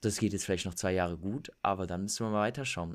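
Here is a man with a normal speaking voice and a fairly low pitch. His intonation is fairly even on a very clean recording with a silent background. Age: 20s. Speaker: fitness and lifestyle influencer. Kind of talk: casual interview.

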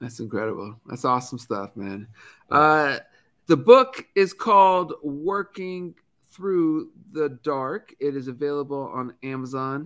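Lively in intonation but fairly slow in pace, a man with a plain, everyday voice and a fairly high pitch is heard in a very clean recording with a silent background. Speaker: podcast host. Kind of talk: casual chat.

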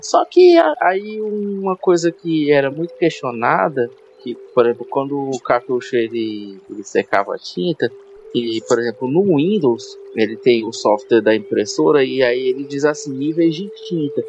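Over noticeable background noise, a man with a fairly high pitch speaks at a fairly slow pace, his pitch swinging very widely. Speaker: podcast host. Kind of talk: casual interview.

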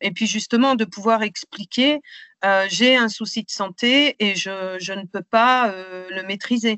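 Speaking at a fairly slow pace, a woman has a fairly high pitch. Her pitch varies in an ordinary way. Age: 50s. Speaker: patient advocate and trainer. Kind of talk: interview testimony. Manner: hesitant, many fillers.

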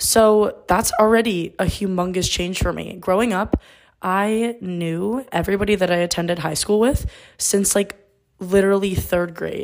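The speaker keeps a moderate pace with fairly even intonation. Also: woman, medium pitch for a woman. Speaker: college student podcaster. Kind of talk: casual solo monologue. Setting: dorm room. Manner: loud.

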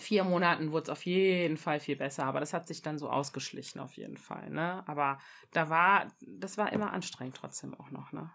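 A woman at a moderate pace, fairly low in pitch, with vocal fry and big swings in loudness. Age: 30s. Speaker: mother sharing birth experience. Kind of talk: interview testimony.

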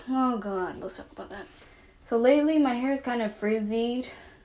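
Amid noticeable background noise and audible room echo, a woman with a high pitch speaks at a moderate pace, with ordinary pitch variation and big swings in loudness. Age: 20s. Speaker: podcaster. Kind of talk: emotional vent monologue.

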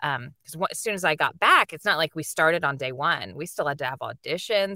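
A woman with a very deep, low pitch and a bright, sharp, animated tone talks at a very fast pace with hardly any pauses, ordinary pitch variation and big swings in loudness, in a dry, close sound with no echo. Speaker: voice actress and anime dub director. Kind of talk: interview.

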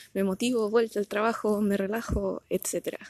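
A woman speaks fairly slowly with a Chilean accent. The sound is dry and close, with no echo. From Chile, Punta Arenas (Magallanes). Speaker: podcaster and amateur runner. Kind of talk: casual monologue. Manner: animated.

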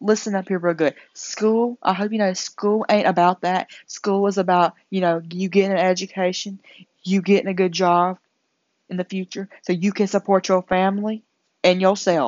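A Southern US accent at a moderate pace. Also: woman, medium pitch for a woman. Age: young. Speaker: incoming nursing student. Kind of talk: casual monologue to camera. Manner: animated.

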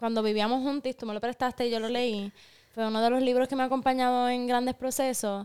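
A woman with a Puerto Rican accent talks at a very fast pace in a high, monotone voice with flat intonation. The recording is very clean and dry, close with no echo, over a silent background. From Puerto Rico. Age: 20s. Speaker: podcast co-host. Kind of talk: casual chat. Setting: studio.

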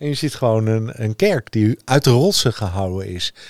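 A man's medium-pitched voice at a very slow pace, in a dry, close sound with no echo. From Netherlands, Utrecht area. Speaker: podcast host. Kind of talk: casual chat.

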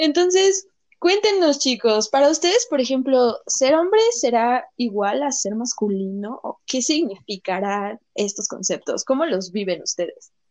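With very wide pitch swings, a woman with a high voice speaks at a fairly slow pace. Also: hardly any pauses. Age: young. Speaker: podcast host. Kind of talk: casual chat.

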